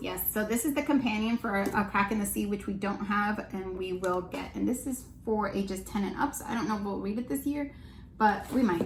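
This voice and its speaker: A woman's medium-pitched voice at a fairly quick pace, with ordinary pitch variation and noticeable background noise. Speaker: homeschooling parent and channel host. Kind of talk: casual chat. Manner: fast.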